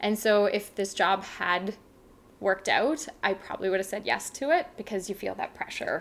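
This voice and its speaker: In a Canadian accent, a woman with an unremarkable speaking voice talks at medium pitch and moderate pace with ordinary pitch variation. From Canada, Saskatchewan. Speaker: travel blogger. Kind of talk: casual chat.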